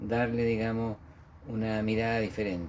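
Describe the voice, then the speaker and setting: Here a man talks at a moderate pace and medium pitch. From central-south Chile, Parral then Paine. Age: 60s. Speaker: memorial director and former local councillor. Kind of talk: interview. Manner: hesitant, many fillers.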